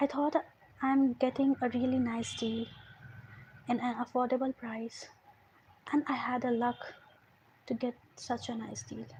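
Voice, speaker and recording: A woman with an Indian accent, her high-pitched voice dark and mellow in tone, flat and monotone, with long, frequent pauses. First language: Hindi. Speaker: storyteller. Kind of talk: storytelling. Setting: livestream. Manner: halting.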